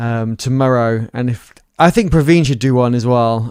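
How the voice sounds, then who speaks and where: Here a man talks at a medium pitch. His pitch varies in an ordinary way. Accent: British. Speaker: software developer, streamer. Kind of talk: casual chat.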